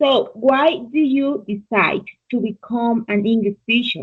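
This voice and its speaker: Her loudness very even, a woman with a Spanish accent speaks at a fairly high pitch and a fairly slow pace, with ordinary pitch variation. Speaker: English learner. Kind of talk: conversation practice interview.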